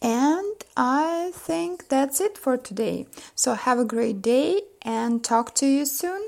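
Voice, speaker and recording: A woman's high voice in a Russian accent, very slow, with very wide pitch swings. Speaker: image consultant. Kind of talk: vlog talk to camera. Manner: halting, many fillers.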